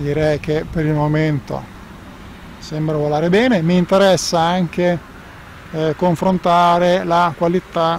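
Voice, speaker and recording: A man at a fairly slow pace with fairly even intonation, dry sound with no echo, and light background noise. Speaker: drone reviewer pilot. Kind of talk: live commentary. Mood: relaxed, lightly joking. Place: open country.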